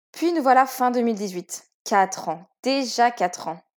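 A woman with an unremarkable speaking voice talks at a fairly high pitch with lively intonation on a very clean recording with a silent background. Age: 20s. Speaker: author sharing fertility story. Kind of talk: testimony. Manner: scripted, read-aloud narration.

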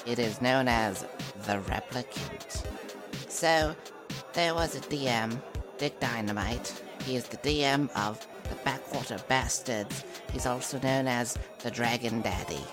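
With loud music in the background, a put-on character voice sits at a low-to-middle pitch and moves at a fairly slow pace. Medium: actual play. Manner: boastful, goofy, rambling.

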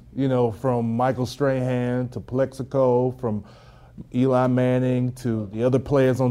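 A man with a Texas accent and a dark, mellow tone. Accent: Southern US (Texas). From rural East Texas. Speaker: former pro football player. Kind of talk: interview. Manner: halting, with fillers.

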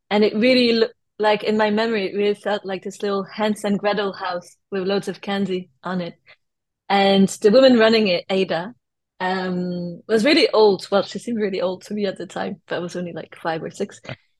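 In a French accent, a woman of medium pitch speaks at a fairly quick pace with fairly even intonation. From France. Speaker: artist and designer. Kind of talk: interview chat.

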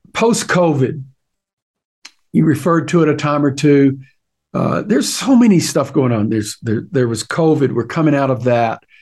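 A man's fairly high voice with lively intonation at a moderate pace. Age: 60s. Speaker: podcast host interviewing pastors. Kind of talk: interview conversation. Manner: halting with repetitions.

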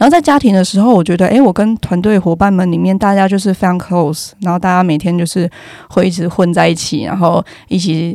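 At a very fast pace, a woman talks in a dark, mellow tone. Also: medium pitch for a woman, ordinary pitch variation. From Taiwan, Yilan. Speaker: company founder, economist. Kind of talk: casual interview chat. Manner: loud.

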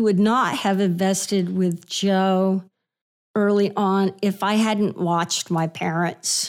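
With an American accent, a woman speaks at medium pitch and a very slow pace. The recording is very clean, with a silent background. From Texas, Houston. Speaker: real estate investor and author. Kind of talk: casual interview chat.

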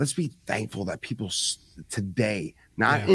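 With an American accent, a man with an unremarkable speaking voice, fairly low pitch and lively intonation talks in a very clean recording with a silent background. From New York (Bronx) and New Jersey. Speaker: Marine veteran, podcaster. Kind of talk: casual chat.

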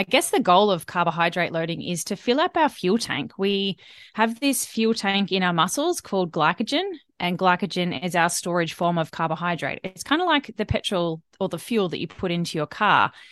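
A woman speaks with an Australian accent. Her pitch is medium and her pace moderate. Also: ordinary pitch variation. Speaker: dietitian. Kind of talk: casual interview.

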